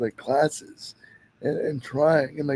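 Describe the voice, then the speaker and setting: A man speaks at a moderate pace. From Canada. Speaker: podcast host. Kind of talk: interview.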